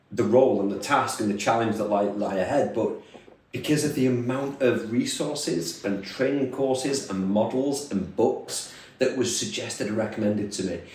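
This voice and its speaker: A man with a northern English accent and ordinary pitch variation, amid audible room echo and noticeable background noise. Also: medium pitch for a man, moderate pace. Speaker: leadership trainer and podcast co-host. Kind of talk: casual podcast chat.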